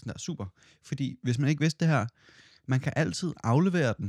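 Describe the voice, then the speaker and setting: A man's lively intonation in a very clean recording with a silent background, dry and close with no echo. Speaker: podcast co-host, student. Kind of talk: casual chat.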